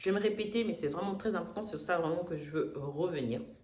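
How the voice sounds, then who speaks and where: Amid noticeable background noise and audible room echo, a woman speaks at a medium pitch with very wide pitch swings and an animated tone. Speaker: vlogger, call-centre worker. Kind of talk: casual storytime vlog.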